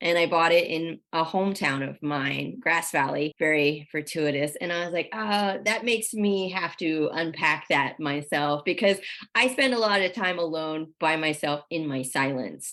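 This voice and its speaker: In an ordinary speaking voice, a woman talks at a moderate pace with hardly any pauses, using a fairly low pitch and lively intonation against a quiet background. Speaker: podcast host. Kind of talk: casual interview chat.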